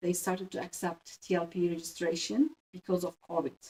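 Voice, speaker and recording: A woman speaks with a Turkish accent and a fairly low pitch. The sound is dry and close, with no echo. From Turkey. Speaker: pharmacist. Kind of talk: interview. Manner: halting, many fillers.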